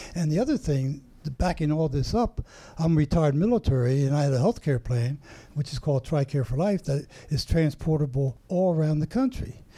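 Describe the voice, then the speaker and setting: A man's somewhat breathy, dark, mellow voice, fairly high in pitch, with very even loudness. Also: ordinary pitch variation, fairly quick pace. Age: 80s+. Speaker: retired army colonel, cancer survivor. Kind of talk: interview.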